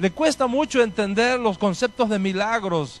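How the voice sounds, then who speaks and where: A man's high-pitched voice with ordinary pitch variation and a Spanish accent. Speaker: rabbi. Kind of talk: lecture.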